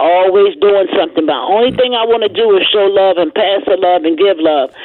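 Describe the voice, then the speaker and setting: At a fairly quick pace with hardly any pauses, a woman speaks at medium pitch with ordinary pitch variation and very even loudness over noticeable background noise. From Baltimore. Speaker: radio caller. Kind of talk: call-in radio. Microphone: loud and clear line.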